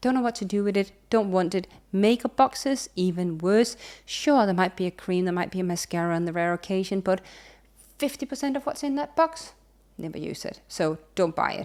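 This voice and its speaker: Recorded very cleanly against a silent background, a woman with a Danish accent talks fairly quickly at a medium pitch with lively intonation. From Denmark. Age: 30s. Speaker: sustainability consultant and YouTuber. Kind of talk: casual vlog monologue. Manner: animated.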